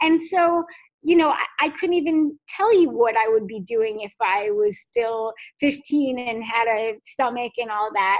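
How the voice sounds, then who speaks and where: Fairly slow and fairly high-pitched, a woman with a plain, everyday voice speaks with lively intonation. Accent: American. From Connecticut, US (Fairfield). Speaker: artist and trauma speaker. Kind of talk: interview.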